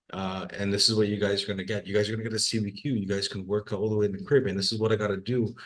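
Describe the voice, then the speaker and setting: Against a quiet background, a man with a Trinidadian accent speaks at a fairly low pitch with fairly even intonation. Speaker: workforce assessment manager. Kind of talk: webinar discussion. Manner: repetitive, halting.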